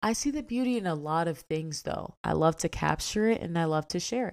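A woman with an unremarkable speaking voice, fairly low pitch, lively intonation and a moderate pace. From DMV area (Washington DC, Maryland, Virginia). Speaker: podcast host and influencer. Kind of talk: casual solo monologue.

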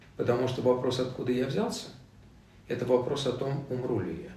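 A man speaks at a moderate pace and medium pitch. Room echo can be heard. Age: 60s. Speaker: philosophy discussion group leader. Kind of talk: casual interview. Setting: studio, face to face. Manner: animated, with rhetorical questions.

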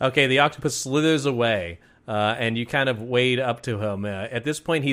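The clip features a natural reading voice with ordinary pitch variation.

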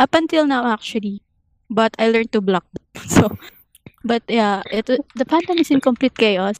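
A woman with a Filipino accent, her fairly high pitch and lively intonation at a moderate pace, broken by long, frequent pauses, in a dry, close sound with no echo. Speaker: AOA fan. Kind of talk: casual chat.

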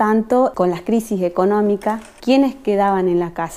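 A woman speaks at a fairly high pitch with a dark, mellow tone. Her pace is fairly slow, and her pitch varies in an ordinary way. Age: 40s. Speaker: palliative care therapeutic companion. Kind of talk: interview testimony.

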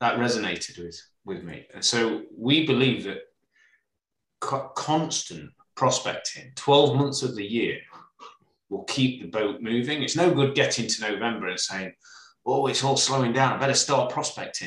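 With vocal fry and ordinary pitch variation, a man speaks at a moderate pace, his loudness swinging widely. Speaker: estate agency director. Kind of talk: casual interview conversation.

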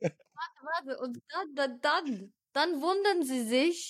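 A woman speaks with a high pitch. The recording is very clean, with a silent background. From Switzerland. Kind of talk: casual chat.

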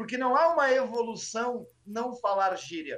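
A man with a southern Brazilian accent speaks at an extremely high pitch. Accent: Rio Grande do Sul (gaúcho) Portuguese. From Porto Alegre, Brazil (Sarandi). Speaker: history teacher and stand-up comedian. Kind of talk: casual chat. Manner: animated.

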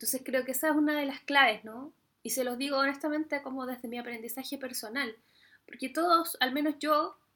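With a Chilean accent, a woman speaks at a fairly quick pace and a high pitch. Her tone is bright and sharp, with fairly even intonation. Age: 30s. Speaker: podcast host and Spanish teacher. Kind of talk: solo monologue podcast. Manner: casual, with laughs. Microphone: poor audio quality.

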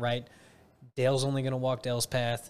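A man with an American accent speaks at a medium pitch in a flat, monotone way. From northern Illinois, Chicago suburbs. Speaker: podcast guest, jiu-jitsu practitioner. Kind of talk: casual chat.

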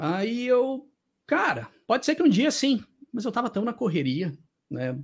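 A man with a Brazilian accent talks at a fairly slow pace. His pitch swings very widely over a very clean recording with a silent background. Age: 30s. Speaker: YouTuber on motorsport and music. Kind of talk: interview conversation. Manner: animated.

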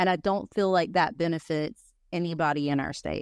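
In a very clean recording with a silent background and a dry, close sound with no echo, a woman with an Appalachian accent talks at a moderate pace with ordinary pitch variation. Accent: Southern US, Appalachian. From North Carolina mountains. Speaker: podcast host. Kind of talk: casual chat.

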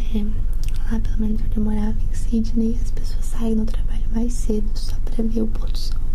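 A woman whispers at a moderate pace and very even loudness. Audible room echo and noticeable background noise are present. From Brazil. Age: 20s. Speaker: ASMR youtuber and film student. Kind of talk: ASMR Q&A, soft spoken. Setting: home recording in apartment. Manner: soft-spoken.

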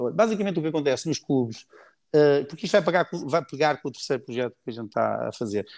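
With lively intonation and vocal fry, a man talks at a very fast pace on a very clean recording with a silent background. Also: fairly high pitch for a man. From Portugal, Cascais. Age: 50s. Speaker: former Olympic sailor, sailing project founder. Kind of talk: casual interview. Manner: hesitant, frequent repetitions.

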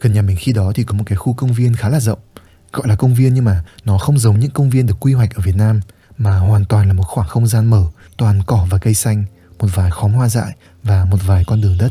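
Over music in the background, a man talks at a very fast pace in a fairly low pitch. His loudness stays very even and his pitch varies in an ordinary way. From northern Vietnam, Hanoi. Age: 20s. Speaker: podcast host, content creator. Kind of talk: reflective solo podcast monologue.

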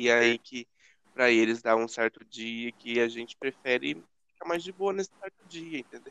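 At a moderate pace, a bright, sharp tone rises and falls across very wide pitch swings, the sound dry and close with no echo. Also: man. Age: 20s. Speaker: podcast co-host. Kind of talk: casual chat.

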